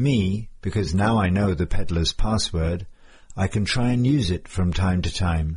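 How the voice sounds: Lively intonation marks a natural reading voice.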